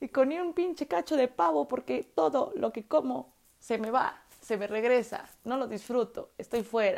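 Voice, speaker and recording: A woman speaks in a high, animated voice with very wide pitch swings. Her pace is fairly slow. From Mexico, Puebla. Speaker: podcaster. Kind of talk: casual monologue.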